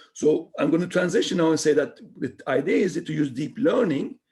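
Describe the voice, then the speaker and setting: A man with a fairly high pitch talks at a fairly quick pace, with vocal fry in his voice. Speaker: mathematics researcher giving seminar talk. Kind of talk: lecture. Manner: fast.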